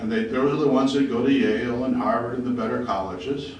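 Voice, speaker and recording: Audible room echo follows this man as he talks. His pitch is medium. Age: 60s. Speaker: resident speaking at public hearing. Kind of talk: public hearing comment.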